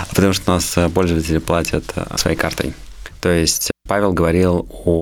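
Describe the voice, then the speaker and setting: Moving at a moderate pace, a man talks with a very deep, low pitch. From Moscow region, Russia. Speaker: IT entrepreneur. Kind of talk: interview.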